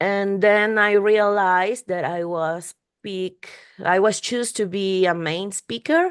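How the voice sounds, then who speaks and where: Speaking at a very slow pace with a non-native accent, the woman has a medium pitch and ordinary pitch variation. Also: quiet background. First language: Spanish. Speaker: UX researcher and podcast host. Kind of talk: interview conversation. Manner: halting, many repetitions and fillers.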